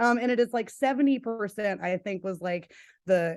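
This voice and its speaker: A woman with lively intonation against a quiet background. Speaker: CBD product expert. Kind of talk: casual educational chat. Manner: fast.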